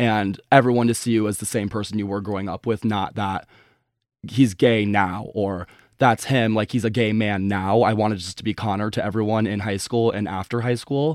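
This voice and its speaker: A man with a plain, everyday voice speaks at a moderate pace in a fairly low pitch with fairly even intonation, on a very clean recording with a silent background. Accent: American. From US Midwest, Chicago suburbs. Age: 20s. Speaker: guest sharing personal story. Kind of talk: casual interview.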